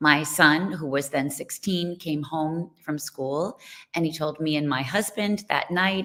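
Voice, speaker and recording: A woman with a New York accent speaks at a very slow pace in a very deep, low pitch. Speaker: nonprofit co-founder and parent advocate. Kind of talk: online presentation.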